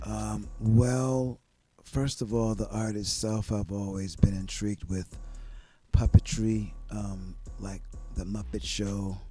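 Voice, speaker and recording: A man talking at a very slow pace, with big swings in loudness and music in the background. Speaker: ventriloquist and comedian. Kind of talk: casual interview. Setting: studio.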